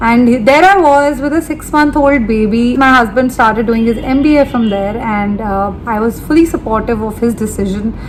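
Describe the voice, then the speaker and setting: Over noticeable background noise, a woman speaks at a moderate pace with hardly any pauses, her fairly high voice showing ordinary pitch variation. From India, Delhi. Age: 30s. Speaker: beauty and lifestyle vlogger. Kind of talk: casual vlog talk to camera. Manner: chatty, talks at length unplanned.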